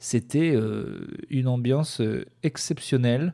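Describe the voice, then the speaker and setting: Medium in pitch, a man's voice has a dark, mellow tone. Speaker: stand-up comedian and podcaster. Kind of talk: stand-up comedy, deadpan dark-humor routine on tour, news and depression jokes. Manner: rambling, halting, hesitant with many fillers and restarts.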